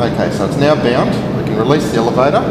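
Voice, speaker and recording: A man's voice with audible room echo over loud background noise. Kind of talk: tutorial. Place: garage. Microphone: phone near.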